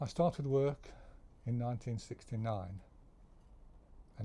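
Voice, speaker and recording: Speaking fairly slowly with an English accent, a man has a medium-pitched, somewhat breathy voice, a dark, mellow tone, and ordinary pitch variation. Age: 70s. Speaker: retired worker sharing life stories. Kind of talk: casual monologue. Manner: halting.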